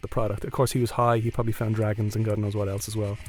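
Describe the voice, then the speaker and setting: In an Irish accent, a man speaks with a dark, mellow tone that is somewhat breathy. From Ireland. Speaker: storyteller. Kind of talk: live storytelling.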